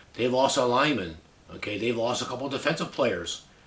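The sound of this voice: A man's voice with a fairly bright tone, lively intonation and a fairly quick pace, set in audible room echo. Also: medium pitch for a man.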